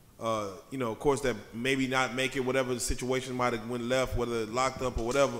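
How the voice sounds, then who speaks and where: Over noticeable background noise, a man speaks at a medium pitch and a very fast pace with hardly any pauses and a monotone, flat intonation. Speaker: interviewer, podcast co-host. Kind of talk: casual interview chat.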